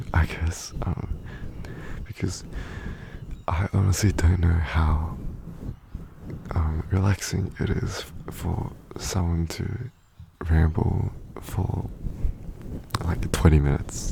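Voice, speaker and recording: Very slow whispering from a man, broken by long, frequent pauses, over noticeable background noise. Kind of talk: ASMR rambling to help viewers sleep; casual talk to camera. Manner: soft-spoken.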